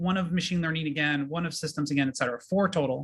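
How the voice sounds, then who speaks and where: A man speaks with ordinary pitch variation. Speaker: professor. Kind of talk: presentation. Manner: fast.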